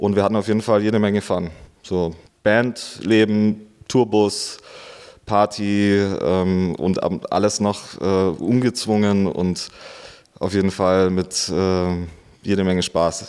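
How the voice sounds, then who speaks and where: Speaking at a very slow pace with long, frequent pauses, a man with a fairly low pitch keeps his loudness very even and his intonation fairly even. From Bavarian Swabia, rural Augsburg district. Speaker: DJ and event promoter. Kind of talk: interview. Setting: club venue.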